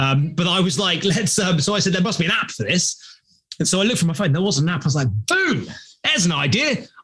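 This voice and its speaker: A man with a British accent sounds animated, speaking very fast in a high pitch with a bright, sharp tone. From London, England. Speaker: startup founder and CEO. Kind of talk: podcast interview. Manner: animated storytelling.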